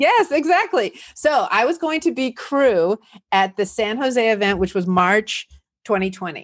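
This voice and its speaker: A woman with a Californian accent, fairly high pitch, an animated tone, very wide pitch swings and a fairly slow pace, against a quiet background. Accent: Californian American. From US West Coast, San Fernando Valley, California. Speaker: entrepreneur, community founder. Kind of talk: interview.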